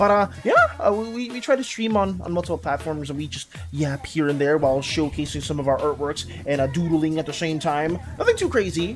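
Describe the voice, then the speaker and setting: Music plays in the background as the speaker goes along at a fairly quick pace. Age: young. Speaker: streamer and digital artist. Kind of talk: casual chat with live chat while drawing. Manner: fast; hesitant, many fillers and repeats.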